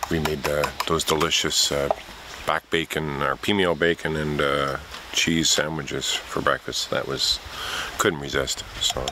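The delivery is fairly slow, monotone and flat, with very even loudness. The sound is dry with no echo, though background noise is noticeable. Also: man, very deep, low pitch for a man. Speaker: canoe tripper vlogger. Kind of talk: casual vlog chat. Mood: wistful, relaxed. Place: forest. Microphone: phone near.

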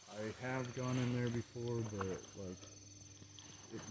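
A man speaks with fairly even intonation. The sound is dry with no echo, and there is noticeable background noise. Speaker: guest guiding the host. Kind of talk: casual explanation on location. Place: garden.

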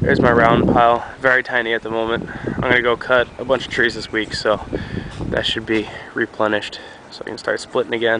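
Fairly quick, monotone, flat speech in a dry sound with no echo, with noticeable background noise. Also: man, medium pitch for a man. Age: young. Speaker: youtuber showing his firewood pile. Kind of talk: casual vlog walkthrough; casual vlog chat. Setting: outdoors at wood pile. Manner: hesitant, many fillers. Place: forest. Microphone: phone near.

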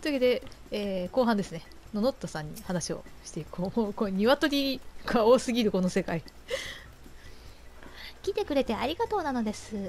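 A woman's fairly high voice at a moderate pace, broken by long, frequent pauses and marked by big swings in loudness. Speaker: game streamer. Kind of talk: let's play commentary.

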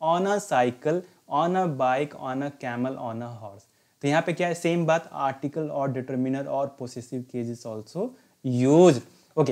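A man with an unremarkable speaking voice talks at a fairly high pitch, with ordinary pitch variation. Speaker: English teacher and retired navy veteran. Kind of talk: lecture. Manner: instructive, mixing Hindi and English.

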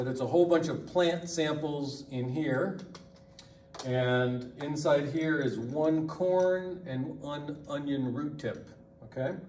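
A man speaks at a very slow pace with fairly even intonation. Audible room echo and light background noise surround his voice. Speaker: lab instructor. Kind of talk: tutorial. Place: classroom. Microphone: camera far.

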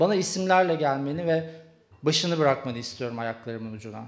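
A man's intense tone with ordinary pitch variation. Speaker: poet. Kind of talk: slam poetry performance. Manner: rapid, intense and declamatory, with sharp defiant delivery. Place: stage. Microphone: handheld.

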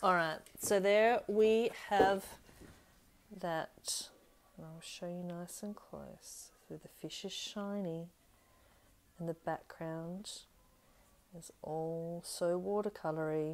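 Speaking very slowly with an Australian accent, a woman with a fairly low pitch leaves long, frequent pauses and lets her loudness swing widely. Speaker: craft demonstrator. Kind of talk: live tutorial. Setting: home stamping room, live stream. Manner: chatty, upbeat. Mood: warm, cheerful. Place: home room. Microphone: webcam.

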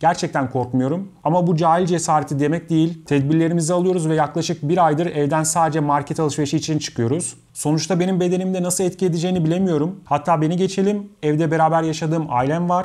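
A man's fairly high voice at a very fast pace, with fairly even intonation and very even loudness against a quiet background. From Istanbul, Turkey; Turkey. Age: 30s. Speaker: YouTuber and video editor; YouTuber. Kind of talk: talking-head Q&A monologue. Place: home room.

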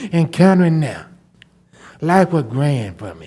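With a Southern US accent, the voice has a dark, mellow tone and ordinary pitch variation. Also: man. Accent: Southern US (Georgia). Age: 60s. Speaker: resident speaking at public comment. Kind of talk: public comment. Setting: county commission meeting.

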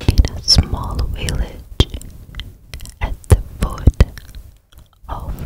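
A woman whispers at a very slow pace. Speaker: ASMR creator. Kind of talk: soft ASMR storytelling. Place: home room. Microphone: studio mic.

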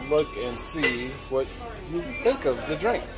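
The speech moves at a fairly slow pace. Music is clearly heard in the background. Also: man. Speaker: cruise vlogger. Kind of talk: casual vlog chat. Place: bar. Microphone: phone near.

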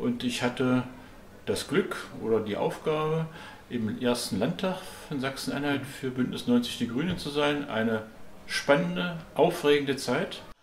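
The man speaks at a fairly slow pace and a fairly high pitch. Audible room echo and light background noise sit in the recording. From East Germany. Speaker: politician. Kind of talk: interview testimony. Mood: calm, reflective storytelling. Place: home room.

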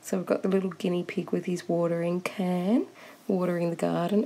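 A fairly quick delivery with an Australian accent. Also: woman. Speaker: coloring book reviewer. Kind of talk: product review. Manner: animated, excitable.

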